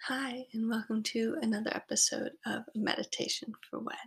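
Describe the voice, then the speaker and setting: A woman speaks at a fairly high pitch with vocal fry. Her tone is soothing and gentle. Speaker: meditation guide. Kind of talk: guided meditation. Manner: slow, soothing, gentle pacing with long pauses; warm, reassuring, conversational.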